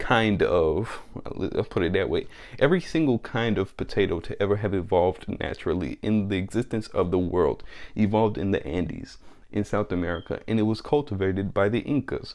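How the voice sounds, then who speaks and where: Over a quiet background, a man with a plain, everyday voice speaks fairly fast at a fairly low pitch, with ordinary pitch variation. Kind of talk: casual monologue vlog.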